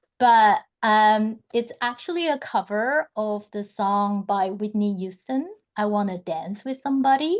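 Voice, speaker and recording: Over a quiet background, a woman talks at a fairly slow pace in a fairly high pitch with ordinary pitch variation. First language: not English. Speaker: community member. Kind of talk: online community gathering.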